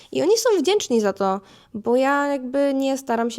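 The background is silent and the recording very clean. A woman talks at a moderate pace. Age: 20s. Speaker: podcast host. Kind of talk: solo monologue podcast. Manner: casual, chatty.

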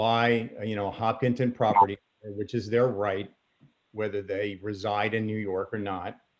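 Against a quiet background, a man with a plain, everyday voice speaks at a moderate pace. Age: 60s. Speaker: member of the public speaking at a town meeting. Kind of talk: public comment at a council meeting. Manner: formal.

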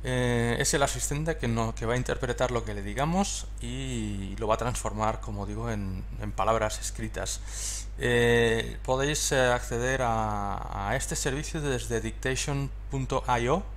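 With light background noise behind him, a man with a very deep, low pitch speaks at a fairly slow pace in a flat monotone, taking hardly any pauses. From Spain. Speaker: tech tutorial creator. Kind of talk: tutorial. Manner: hesitant, many fillers. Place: home room. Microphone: headset.

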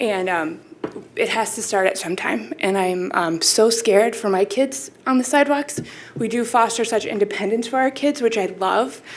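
Against noticeable background noise, a woman with an American accent speaks at a fairly high pitch with lively intonation. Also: moderate pace. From Minnesota, US (Minneapolis). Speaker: resident speaking at public comment, parent. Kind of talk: public comment at city meeting. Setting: city commission meeting room. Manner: halting, many fillers.

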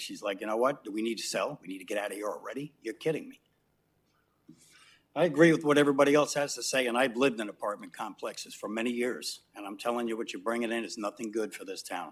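Here a man speaks in an American accent at a medium pitch. He talks at a very fast pace with ordinary pitch variation. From New York City. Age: 60s. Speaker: resident speaking at public comment. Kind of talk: public comment at council meeting. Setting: city council chamber.

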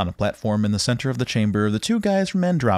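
This recording consists of plain reading aloud.

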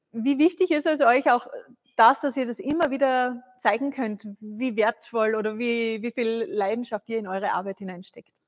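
Against a quiet background, a woman speaks at a moderate pace. Her pitch is fairly high, with ordinary variation. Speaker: live stream host. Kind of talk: live tasting show. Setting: studio. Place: studio.

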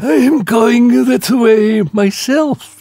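A man does a husky, put-on character voice. His pitch is high and swings very widely. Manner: friendly, addressing her as dearie.

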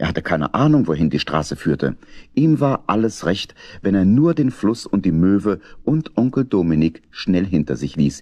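Speaking at a fairly slow pace, a man uses big pitch swings in a slightly mellow tone.

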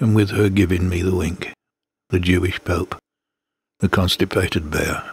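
Speaking at a moderate pace with an English accent, a man has a very deep, low pitch and a somewhat breathy, monotone, flat delivery. He takes long, frequent pauses, and the sound is dry and close with no echo. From Britain. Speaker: poetry reader. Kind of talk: reading aloud.

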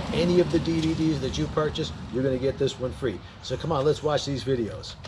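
A man talks at a very fast pace with ordinary pitch variation. There is noticeable background noise. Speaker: motorcycle riding instructor. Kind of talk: casual vlog chat with promotion. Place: street. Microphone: phone near.

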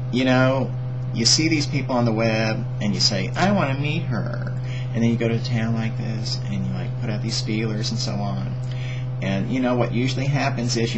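There is noticeable background noise. A man talks at a fairly quick pace. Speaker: vlogger. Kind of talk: casual vlog chat. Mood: playful, joking, laughing. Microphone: webcam.

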